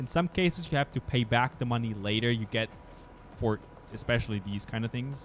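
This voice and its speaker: A man with a German accent at a very fast pace, ordinary pitch variation, and music in the background. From Germany. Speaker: video game streamer. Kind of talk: casual chat. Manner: halting.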